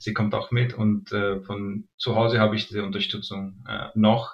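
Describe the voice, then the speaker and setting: Speaking in a monotone, flat intonation, a man talks at a fairly low pitch and a fairly slow pace. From Pakistan. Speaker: cricket player. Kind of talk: interview. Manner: hesitant, many fillers.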